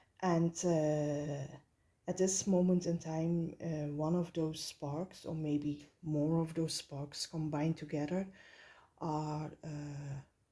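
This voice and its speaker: In a Flemish accent, the speaker goes at a very slow pace with a dark, mellow tone and monotone, flat intonation. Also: woman, very deep, low pitch for a woman. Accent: Flemish Dutch accent in English. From Belgium. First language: Dutch. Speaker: tarot reader. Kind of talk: tarot reading. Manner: halting, many filler sounds.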